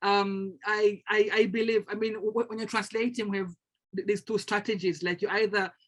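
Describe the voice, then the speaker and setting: At a moderate pace, a woman with a Tanzanian accent speaks in a fairly high voice. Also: quiet background. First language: Swahili. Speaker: translator and lecturer. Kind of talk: panel discussion. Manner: halting, many repetitions.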